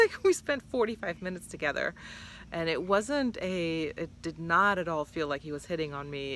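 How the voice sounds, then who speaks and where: A woman's fairly low voice, bright and sharp in tone, with lively intonation at a moderate pace. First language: not English. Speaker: vlogger. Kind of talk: casual vlog monologue. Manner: hesitant, many fillers.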